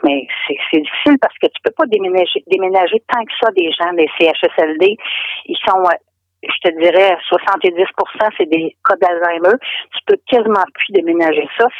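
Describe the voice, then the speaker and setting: A woman with a Quebec accent at a medium pitch, fairly slow pace, ordinary pitch variation, and long, frequent pauses. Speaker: expat caller from Quebec. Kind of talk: casual phone interview. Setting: phone call.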